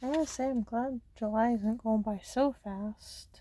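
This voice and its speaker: Somewhat breathy and dark, mellow in tone, a woman speaks with an American accent. Her pace is fairly slow. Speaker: ASMR creator. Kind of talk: ASMR coloring chat. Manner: casual, rambling filler words.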